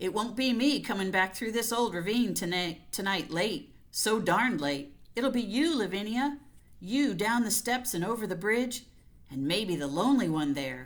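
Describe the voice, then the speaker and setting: A female-sounding put-on character voice at medium pitch for a woman, moving at a moderate pace. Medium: read story. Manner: anxious.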